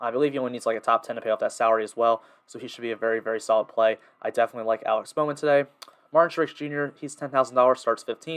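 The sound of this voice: A man races along at a very fast pace, his tone clear and smooth and his intonation fairly even. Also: medium pitch for a man.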